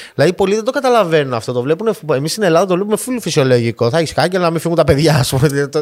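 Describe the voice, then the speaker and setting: Talking at a very fast pace, a man with a fairly high voice swings his pitch very widely. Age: 30s. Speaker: podcast host. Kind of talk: casual chat.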